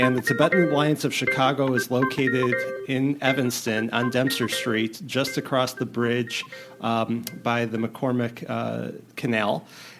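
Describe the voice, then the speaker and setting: Man at a moderate pace and medium pitch, fairly even intonation, with music in the background. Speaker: podcast host. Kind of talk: interview questions.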